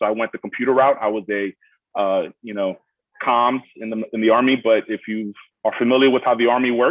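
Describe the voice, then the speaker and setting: In a Brooklyn accent, a man talks fairly quickly at a medium pitch. His intonation stays fairly even. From Miami, Florida (born in Brooklyn). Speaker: student veteran. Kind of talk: panel Q&A introduction. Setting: video call.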